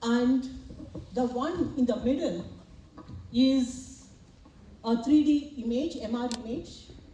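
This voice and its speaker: A woman speaks very slowly in a high voice, with long, frequent pauses. Noticeable background noise and audible room echo surround her. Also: ordinary pitch variation. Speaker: professor and medical imaging researcher. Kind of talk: academic presentation and Q&A response. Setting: symposium hall with audience and slides.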